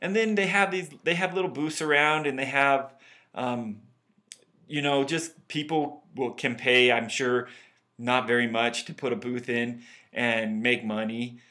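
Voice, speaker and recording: With a Utah accent, a man speaks at a fairly slow pace and a medium pitch. His tone is bright and sharp, with lively intonation. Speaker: podcast host. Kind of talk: casual banter podcast chat.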